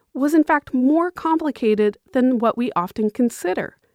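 A woman's high voice in an American accent, full of very wide pitch swings, dry and close with no echo, on a very clean recording with a silent background. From Massachusetts, US. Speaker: history teacher. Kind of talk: scripted narration.

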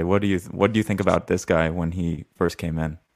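Flat and monotone, a man talks at a very deep, low pitch. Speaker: podcast co-host. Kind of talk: interview.

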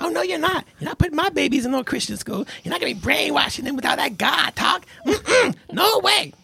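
A high-pitched, put-on character voice at a fairly quick pace. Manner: sassy, emphatic refusal.

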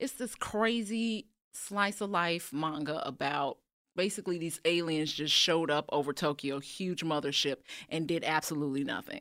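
A woman with an American accent has an unremarkable speaking voice and a fairly low pitch. She speaks at a moderate pace with lively intonation on a very clean recording with a silent background. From US Midwest, Chicago. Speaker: animation artist. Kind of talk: casual chat.

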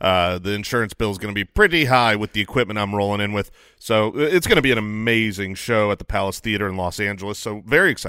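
On a very clean recording with a silent background, a man talks at a very fast pace, his pitch fairly low and varying in an ordinary way. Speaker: fantasy football analyst. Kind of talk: casual chat. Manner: joking.

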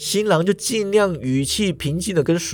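The voice here is an unforced reading voice.

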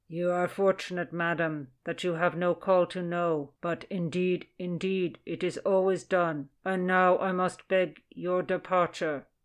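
A put-on character voice at a middle pitch moves at a fairly slow pace with hardly any pauses. Its intonation is monotone and flat against a quiet background. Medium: read story. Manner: solemn, droning.

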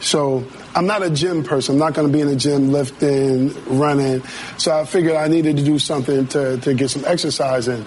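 Fairly high-pitched for a man, an American-accented male voice moves at a fairly quick pace with very even loudness, amid audible room echo and noticeable background noise. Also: fairly even intonation. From Massachusetts. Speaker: DJ. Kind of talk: casual interview.

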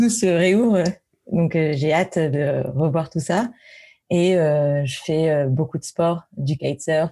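A woman's very deep, low voice, dark and mellow, at a very slow pace with ordinary pitch variation. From Paris, France. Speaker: tech executive. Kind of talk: interview.

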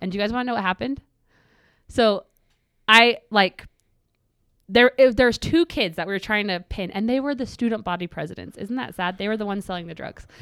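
A woman with an American accent speaks at a fairly quick pace in a medium pitch, with ordinary pitch variation, big swings in loudness and long, frequent pauses, on a very clean recording with a silent background and a dry, close sound with no echo. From Utah, US. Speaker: self-defense instructor and social media creator. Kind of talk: casual interview, personal testimony.

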